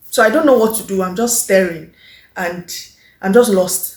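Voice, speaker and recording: The speaker sounds confident and somewhat breathy, using ordinary pitch variation at a moderate pace. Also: woman. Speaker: lifestyle vlogger. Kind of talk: casual vlog monologue.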